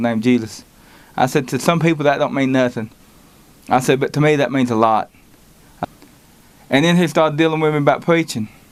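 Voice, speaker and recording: A man talking at a very fast pace with a Southern US accent. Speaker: lay preacher. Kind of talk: testimony. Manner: halting.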